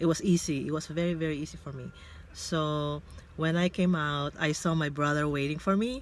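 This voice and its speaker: Speaking with a Filipino accent, a woman uses a very deep, low pitch, fairly even intonation and a moderate pace. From Philippines. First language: Tagalog. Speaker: vlogger. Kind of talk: casual vlog monologue. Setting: in a car.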